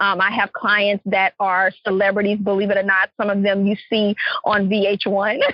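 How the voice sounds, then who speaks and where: A woman speaks in a Louisiana accent. Her intonation is monotone and flat, and her loudness stays very even. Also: medium pitch for a woman, moderate pace. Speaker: clarity coach and entrepreneur. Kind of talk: podcast interview.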